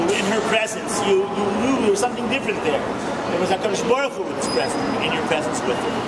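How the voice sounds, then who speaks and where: A man talks at a very fast pace over loud background noise. His pitch varies in an ordinary way. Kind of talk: eulogy remarks. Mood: emotional, reverent remembrance. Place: station. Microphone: phone near.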